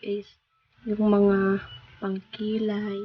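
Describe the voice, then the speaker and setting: This soft-spoken woman has a medium pitch and a monotone, flat intonation. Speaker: vlogger. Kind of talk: casual vlog narration. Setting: at home. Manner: soft-spoken, quiet.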